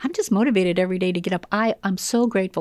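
A woman at medium pitch, very fast in pace, with fairly even intonation, in a very clean recording with a silent background. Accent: American. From US Midwest, Illinois. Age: 60s. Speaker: professional trainer and consultant. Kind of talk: casual interview chat. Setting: studio.

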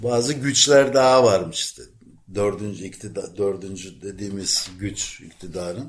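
A plain, everyday voice from a man with fairly low pitch, ordinary pitch variation and a fairly slow pace. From Ankara, Turkey. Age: 60s. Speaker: veteran journalist living in Athens. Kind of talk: casual interview about life story.

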